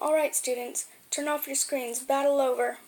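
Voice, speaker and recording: Using a put-on character voice, a woman sounds gruff and high-pitched, with monotone, flat intonation at a moderate pace. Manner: commanding.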